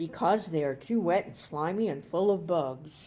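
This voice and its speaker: The speaker uses a put-on character voice at a middle pitch. The pace is moderate. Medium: read story. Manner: gloating, playful menace.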